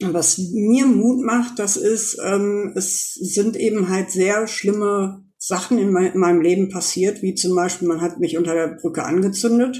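Speaking fairly slowly with hardly any pauses, a woman uses a normal speaking voice at medium pitch. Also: ordinary pitch variation. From Germany, Ruhr area (Essen). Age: 40s. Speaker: former homeless person, volunteer. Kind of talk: testimony.

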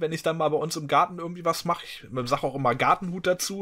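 A man's bright, sharp, fairly high voice at a very fast pace, on a very clean recording with a silent background. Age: 40s. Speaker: gaming podcast co-host. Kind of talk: casual chat.

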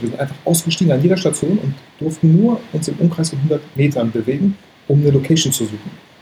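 Against noticeable background noise, a man talks at a fairly quick pace, his fairly high pitch showing ordinary variation. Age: 30s. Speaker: photographer and YouTuber. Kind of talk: casual chat. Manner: animated.

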